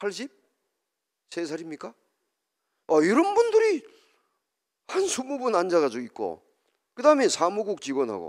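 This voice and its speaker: A man speaks at a moderate pace with long, frequent pauses and big swings in loudness. The recording is very clean, with a silent background. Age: 60s. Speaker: professor and lecturer. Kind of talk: public lecture. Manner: conversational, asks audience questions.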